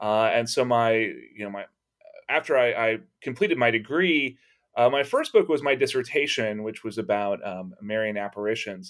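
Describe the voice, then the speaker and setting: A man with an ordinary speaking voice and an American accent speaks at a moderate pace and medium pitch, with ordinary pitch variation, on a very clean recording with a silent background. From Texas. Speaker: religious studies professor. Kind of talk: interview.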